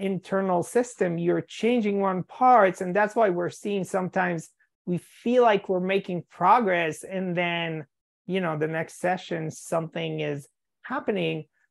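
A woman talks fairly slowly with ordinary pitch variation, the background quiet. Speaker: EMDR therapist and podcast host. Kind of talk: interview conversation. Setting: live video call. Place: home room. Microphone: video call.

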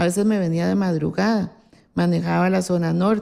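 In a quiet setting, a woman is talking. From Costa Rica, Alajuela; Costa Rica. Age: 60s. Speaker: politician. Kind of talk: interview. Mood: calm, reminiscing. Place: office.

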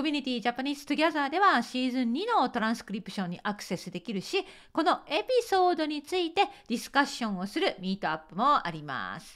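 Against a quiet background, a woman talks very fast at a high pitch, her voice swinging very widely in pitch and heavily in loudness. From Japan. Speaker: Japanese teacher. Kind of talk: podcast monologue partly reading from a script. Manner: reading aloud from a script. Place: home room.

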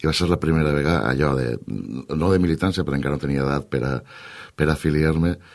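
A man with a very deep, low pitch speaks at a fairly quick pace with fairly even intonation against a quiet background. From Valencia region, Canals (La Costera); Valencia region, Spain. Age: 40s. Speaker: politician. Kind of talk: radio interview. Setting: radio studio. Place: studio.

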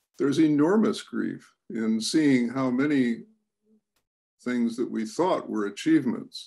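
A man with an American accent speaks at a very slow pace with very wide pitch swings against a quiet background. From United States. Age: 80s+. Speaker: writer and speaker. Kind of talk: reflective talk. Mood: calm, gentle, reflective. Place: home room. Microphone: video call.

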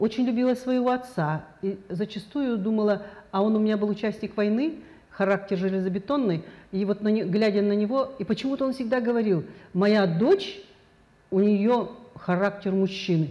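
Taking long, frequent pauses, a woman with a dark, mellow tone speaks at a moderate pace with ordinary pitch variation. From Kazakhstan. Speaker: educator and public figure; educator. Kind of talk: TV studio interview. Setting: TV studio. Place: studio. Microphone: lapel.

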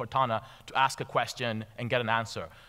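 A man speaks in a bright, sharp tone with monotone, flat intonation against a quiet background. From Tanzania, schooled in Nairobi. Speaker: venture capital investor. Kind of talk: conference talk. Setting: stage with audience. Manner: halting with fillers and repetitions. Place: stage. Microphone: headset.

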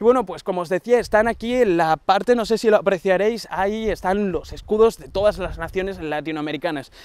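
This man has a high pitch and talks fairly quickly with hardly any pauses, ordinary pitch variation and big swings in loudness, in a dry sound with no echo. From Andalusia, Huelva; Andalusia. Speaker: tech YouTuber; channel host. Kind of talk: casual vlog address to viewers; casual vlog chat. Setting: outdoors on a long avenue. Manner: hesitant, many fillers. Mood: warm, grateful. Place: garden.

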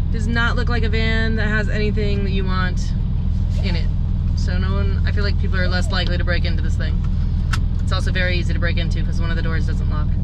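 A woman talks at a fairly quick pace over loud background noise. The sound is dry, with no echo. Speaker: travel vlogger. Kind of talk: casual vlog chat. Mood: amused, joking. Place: car. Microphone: camera far.

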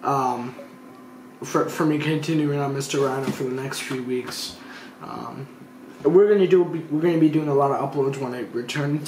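Audible room echo and light background noise fill the recording. The speech moves at a moderate pace. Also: man. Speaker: youtuber. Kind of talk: casual vlog chat. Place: home room.

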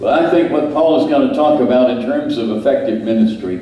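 Audible room echo is present. A man is doing the talking. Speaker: preacher. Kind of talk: sermon. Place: church.

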